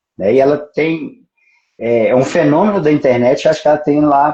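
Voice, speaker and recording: In a Minas Gerais caipira accent, a man speaks at a moderate pace with a fairly high pitch. His voice is somewhat breathy, with a dark, mellow tone and lively intonation. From Brazil, Minas Gerais (Pedra Azul). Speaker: judge. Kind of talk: casual live stream chat. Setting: Instagram live.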